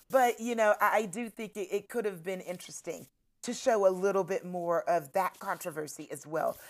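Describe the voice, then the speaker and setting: Here is a woman with a plain, everyday voice, medium in pitch and with ordinary pitch variation. She talks at a moderate pace on a very clean recording with a silent background. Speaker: history professor. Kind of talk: casual chat.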